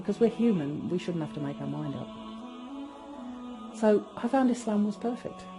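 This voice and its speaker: Long, frequent pauses and very wide pitch swings, with music in the background. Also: woman, medium pitch for a woman, moderate pace. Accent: English Midlands. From England, Northamptonshire. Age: 50s. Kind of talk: testimony. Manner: conversational, with hesitations.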